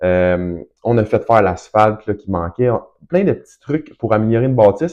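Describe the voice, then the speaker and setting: A man's fairly low, dark, mellow voice in a Quebec accent, fairly quick in pace, with ordinary pitch variation. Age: 30s. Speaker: real estate investor and broker. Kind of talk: casual tutorial. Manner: fast; hesitant, many fillers.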